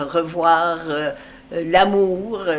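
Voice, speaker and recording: Noticeable background noise sits under a woman's voice. She speaks fairly low with fairly even intonation. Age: 80s+. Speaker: retired amateur theatre actress. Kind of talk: interview. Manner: halting, many hesitations.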